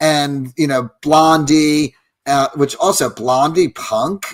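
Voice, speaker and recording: In a normal speaking voice, a man talks at a fairly slow pace with a fairly high pitch and fairly even intonation. The sound is dry and close, with no echo. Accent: American. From New Jersey. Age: 60s. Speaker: photographer. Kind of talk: casual chat.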